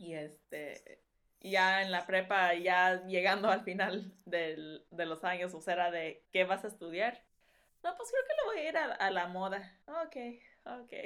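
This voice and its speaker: At a very slow pace, a woman with a medium-pitched voice speaks in a very clean recording with a silent background. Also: ordinary pitch variation. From Los Angeles, California (Mexican-born). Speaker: wedding dress designer. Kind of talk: casual chat.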